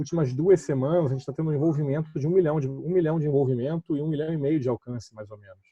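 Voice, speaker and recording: A man talks very fast in a fairly high voice, with hardly any pauses. His intonation stays fairly even while his loudness swings widely. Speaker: municipal communications official. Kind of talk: online panel discussion.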